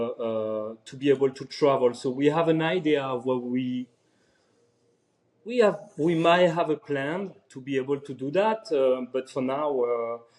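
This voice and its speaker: Medium in pitch, a man's voice comes through in a French accent. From France, Paris. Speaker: private chef. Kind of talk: casual interview. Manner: halting, many fillers.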